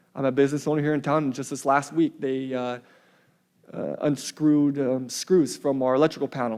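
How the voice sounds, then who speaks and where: Fairly quick, fairly even speech from a man with an American accent and a fairly high pitch, in a very clean recording with a silent background. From central Washington, US. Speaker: public commenter, local business owner. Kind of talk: public comment at council meeting. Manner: fast; hesitant, many fillers.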